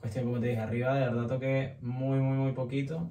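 Strong room echo surrounds a man's dark, mellow voice at a medium pitch, moving at a fairly quick pace with little pitch movement.

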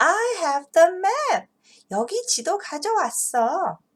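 In a put-on character voice, a woman speaks very slowly at an extremely high pitch, her tone cheerful. Her pitch swings very widely. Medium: read story. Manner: eager, cheerful.

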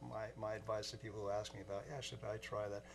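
With an American accent, a man talks at a very fast pace in a fairly low pitch, with light background noise behind him. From US Pacific Northwest, Seattle. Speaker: musician; interview guest. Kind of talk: interview. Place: studio.

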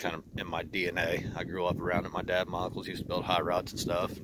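Against loud background noise, a man speaks at a fairly quick pace in a dry sound with no echo. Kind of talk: casual vlog chat. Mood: relaxed, friendly. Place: garden. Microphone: phone near.

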